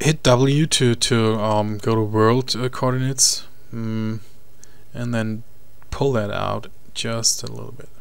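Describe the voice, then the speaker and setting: Speaking with a German accent, a man talks fairly slowly at a medium pitch, leaving long, frequent pauses. His intonation is fairly even, and the room gives an audible echo. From Germany. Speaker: 3D modeling tutor. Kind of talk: software tutorial. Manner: halting, many fillers and repeats.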